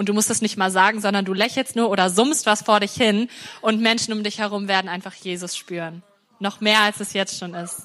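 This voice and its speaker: Here is a plain, everyday voice: a woman at a medium pitch, talking at a fairly quick pace with fairly even intonation. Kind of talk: prophetic encouragement.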